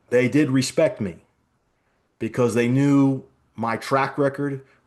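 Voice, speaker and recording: A man's normal speaking voice at a medium pitch, fairly slow in pace with fairly even intonation, over a quiet background. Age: 50s. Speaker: business executive. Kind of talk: interview.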